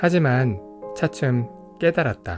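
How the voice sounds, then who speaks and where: Music plays in the background as a man speaks at a very slow pace. His intonation is lively. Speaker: audiobook narrator. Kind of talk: audiobook reading. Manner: calm, soft-spoken.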